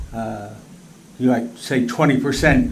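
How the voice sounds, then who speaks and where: There is audible room echo. A man with medium pitch speaks at a moderate pace. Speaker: planning board member. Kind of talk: questioning at public board meeting. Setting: public board meeting. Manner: halting, repeats words.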